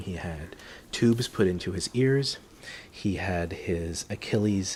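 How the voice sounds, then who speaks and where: A man whispers in a somewhat breathy way. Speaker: parent vlogger. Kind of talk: casual explanatory vlog. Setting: at home. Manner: whispering; hesitant, many fillers.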